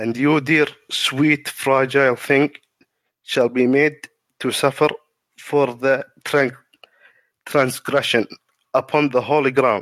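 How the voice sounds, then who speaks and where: A man speaks at a very slow pace and a medium pitch, with monotone, flat intonation. Long, frequent pauses break up his speech. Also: very even loudness. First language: not English. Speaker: lore content creator. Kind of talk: reading aloud. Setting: live stream. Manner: halting.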